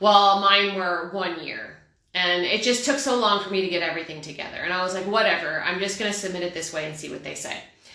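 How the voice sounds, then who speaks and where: With an American accent, a woman talks very fast at a medium pitch, with ordinary pitch variation, big swings in loudness and audible room echo. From Texas. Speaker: expat advice channel host. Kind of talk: casual Q&A vlog chat.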